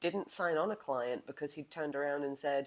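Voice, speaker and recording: On a very clean recording with a silent background, a woman speaks at a fairly quick pace in a very deep, low pitch. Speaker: wellness coach and podcaster. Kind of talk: casual monologue. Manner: animated.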